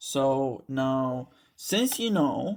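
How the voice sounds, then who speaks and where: A man with a non-native accent speaks at a fairly high pitch, captured in a very clean recording with a silent background. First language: not English. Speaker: student tutor. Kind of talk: tutorial. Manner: casual, halting with fillers.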